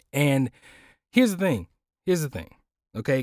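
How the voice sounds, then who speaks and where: A man with a fairly high voice speaks in an animated tone with lively intonation. The very clean recording has a silent background and a dry, close sound with no echo. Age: 30s. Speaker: podcast host and audiobook narrator. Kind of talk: casual chat.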